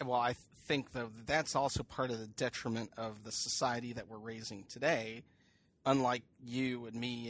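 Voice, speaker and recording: A man talks at a moderate pace with an unremarkable speaking voice at medium pitch. The background is quiet. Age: 40s. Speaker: podcast co-host. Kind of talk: casual chat.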